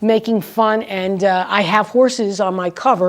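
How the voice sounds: Here is a natural reading voice. Its intonation is fairly even.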